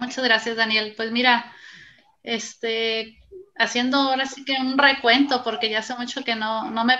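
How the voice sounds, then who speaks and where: A woman talks in a high pitch with monotone, flat intonation. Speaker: basketball referee and sports association organizer. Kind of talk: interview.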